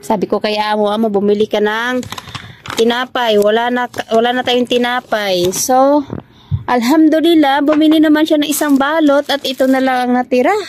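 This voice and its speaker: In an animated tone, a woman speaks at a moderate pace with a high voice and lively intonation. There is noticeable background noise. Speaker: vlogger, overseas domestic worker. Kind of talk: casual vlog chat. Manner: animated, chatty.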